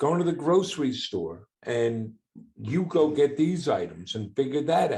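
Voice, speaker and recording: Intonation here is lively, and the pace is moderate. The delivery sounds somewhat breathy. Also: man. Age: 60s. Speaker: entrepreneur and father of a son with Down syndrome. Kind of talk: podcast interview.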